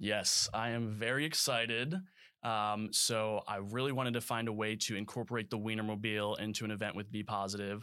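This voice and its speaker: In a very clean recording with a silent background, a man with an American accent speaks at a fairly quick pace and fairly low pitch. His tone is bright, sharp and energetic. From US Midwest, Chicago suburbs. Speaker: brand ambassador, mascot vehicle driver. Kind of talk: interview.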